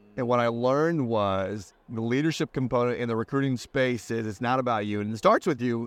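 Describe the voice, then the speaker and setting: A man with an American accent and a normal speaking voice talks at a medium pitch with hardly any pauses, against a quiet background. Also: ordinary pitch variation, fairly quick pace. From US Midwest, Indiana. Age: 40s. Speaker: business coach. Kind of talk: casual interview chat.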